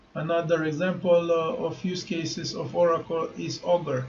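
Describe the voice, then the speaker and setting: With a non-native accent and a fairly high voice, a man speaks amid noticeable background noise and audible room echo. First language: not English. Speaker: crypto YouTuber. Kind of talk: tutorial. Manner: halting, many fillers.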